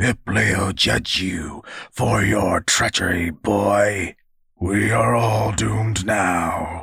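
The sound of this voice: In a put-on character voice, a man growls in a booming, gravelly, very deep, low pitch, very slowly and at a very even loudness. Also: ordinary pitch variation.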